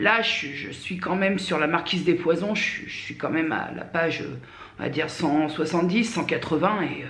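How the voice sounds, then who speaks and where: Amid noticeable background noise and audible room echo, a woman speaks at a moderate pace and fairly low pitch, with ordinary pitch variation and big swings in loudness. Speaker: vlogger. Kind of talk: casual vlog monologue. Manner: hesitant, many fillers.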